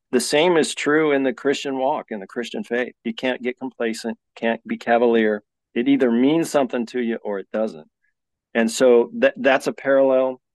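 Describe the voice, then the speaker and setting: With an American accent, a man speaks at a moderate pace in a medium pitch with ordinary pitch variation, a normal speaking voice recorded dry and close with no echo against a quiet background. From Colorado. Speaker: ultra runner. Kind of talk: casual chat.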